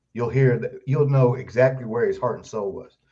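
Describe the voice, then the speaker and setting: Somewhat breathy and very fast, a man speaks at a medium pitch with a dark, mellow tone. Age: 60s. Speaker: author and Elvis's stepbrother. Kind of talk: interview.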